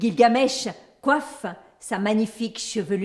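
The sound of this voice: The reading comes in an unforced voice.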